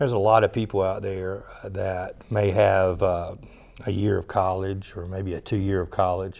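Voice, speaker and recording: A man speaks at a moderate pace in a fairly low voice, his intonation flat and monotone. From US South, South Georgia; Georgia. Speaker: director of continuing education. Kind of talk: interview; interview answer. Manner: halting, many fillers. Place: studio. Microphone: lapel.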